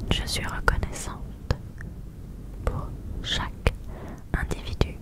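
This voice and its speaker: Breathy and whispering, a woman speaks in a dry sound with no echo over loud background noise. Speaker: ASMR creator. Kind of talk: soft-spoken ASMR affirmations. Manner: slow, breathy close whisper. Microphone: studio mic.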